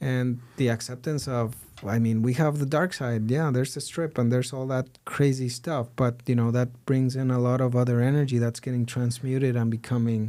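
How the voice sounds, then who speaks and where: A man speaks with a Mexican accent. His tone is dark and mellow. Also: medium pitch for a man, fairly even intonation, moderate pace, hardly any pauses. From Mexico. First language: Spanish. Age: 40s. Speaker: digital marketing entrepreneur, podcast guest. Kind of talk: casual interview conversation. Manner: halting, with repeated words.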